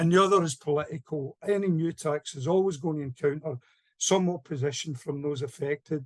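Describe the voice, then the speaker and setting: A man talks at a fairly quick pace with fairly even intonation in a plain, everyday voice. The sound is dry and close, with no echo. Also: fairly high pitch for a man. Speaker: campaigner. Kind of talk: panel talk.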